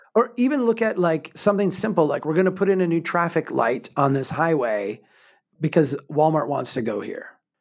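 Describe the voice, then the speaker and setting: On a very clean recording with a silent background, a man talks at a fairly quick pace in a high pitch with very wide pitch swings. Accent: American. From Minnesota, small town. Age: 40s. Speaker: urban planner and author. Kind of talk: casual chat.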